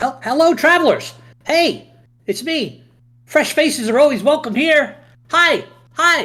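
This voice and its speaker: A put-on character voice with a high pitch, at a moderate pace, broken by long, frequent pauses. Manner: friendly, greeting travelers.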